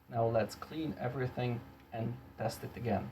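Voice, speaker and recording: This man has a non-native accent and a medium pitch. He talks at a fairly slow pace in a monotone, flat intonation. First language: not English. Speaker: electronics repair youtuber. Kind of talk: tutorial. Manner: halting.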